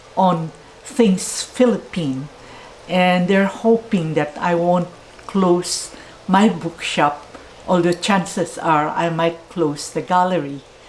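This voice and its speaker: Over noticeable background noise, a woman with a fairly low pitch talks very slowly. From Philippines. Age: 80s+. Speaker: bookshop owner. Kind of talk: interview.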